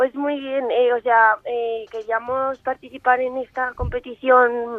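Speaking at a very slow pace, a woman uses a high voice. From Aragon, Spain (Zaragoza). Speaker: karate athlete. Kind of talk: radio interview.

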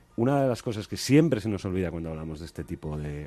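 Music plays in the background as a man talks with very wide pitch swings. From Spain, Asturias. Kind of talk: panel discussion. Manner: halting, many repetitions.

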